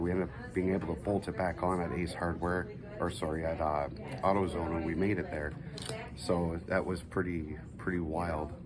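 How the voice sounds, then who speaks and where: Over music in the background and audible room echo, a man talks at a fairly quick pace with a very deep, low pitch and fairly even intonation. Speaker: amateur race car driver and charity founder. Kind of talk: casual vlog. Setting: hospital room. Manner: soft-spoken.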